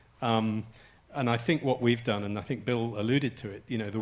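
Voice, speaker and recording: With an English accent, a man speaks at medium pitch and with fairly even intonation. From England. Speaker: health policy expert on a conference panel. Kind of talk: panel discussion. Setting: stage with audience. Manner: halting, many restarts.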